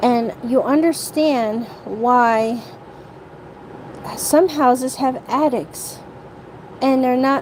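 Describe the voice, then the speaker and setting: Noticeable background noise runs under the recording. A woman speaks at a high pitch with ordinary pitch variation. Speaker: live streamer. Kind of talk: livestream rant. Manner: halting, repetitive.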